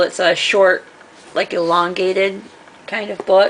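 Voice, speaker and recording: A woman at a fairly slow pace and medium pitch, with noticeable background noise. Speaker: craft and book-haul vlogger. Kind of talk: casual show-and-tell vlog. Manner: loud; casual, hesitant with fillers.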